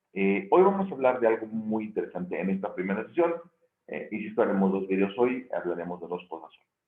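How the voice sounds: Talking at a fast pace, a man's hoarse, gravelly voice sits at a fairly low pitch. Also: lively intonation.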